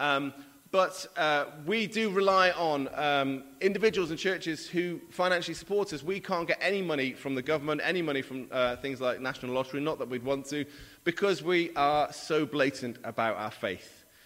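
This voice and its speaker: A man speaks with a Welsh accent at a moderate pace. His pitch is fairly high with ordinary variation. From Mid Wales. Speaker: charity leader and guest preacher. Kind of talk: sermon. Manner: hesitant, many fillers.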